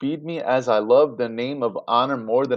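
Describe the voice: The speaker simply reads aloud in a plain way.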